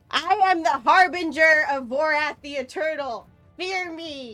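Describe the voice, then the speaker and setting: A woman uses a put-on character voice at an extremely high pitch, speaking at a fairly slow pace. Faint music plays in the background. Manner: menacing, grandiose.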